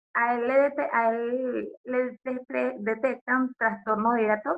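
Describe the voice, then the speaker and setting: With a Venezuelan accent, a woman talks at a fairly high pitch. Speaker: podcast co-host. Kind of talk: casual chat.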